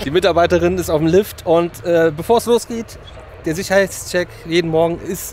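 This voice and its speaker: Over light background noise, a man speaks in a high pitch with a dry sound that has no echo. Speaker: theme park vlogger. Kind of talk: casual vlog chat. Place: street. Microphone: phone near.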